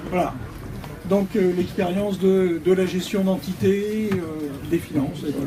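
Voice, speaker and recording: Speaking very slowly, a man uses a high pitch and fairly even intonation. Background noise is noticeable. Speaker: election candidate. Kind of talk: self-introduction at a public meeting. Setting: public meeting in a café.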